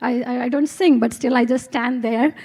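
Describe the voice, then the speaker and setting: Soft-spoken and high-pitched, a woman talks with an Indian accent and ordinary pitch variation. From India, Kerala. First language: Malayalam. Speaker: physics professor. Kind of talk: testimony. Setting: stage with audience.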